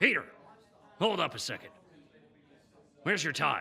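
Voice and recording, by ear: Taking on a put-on character voice, a man speaks fairly slowly with a bright, sharp tone, a husky, rough edge, vocal fry and big pitch swings. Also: fairly high pitch for a man.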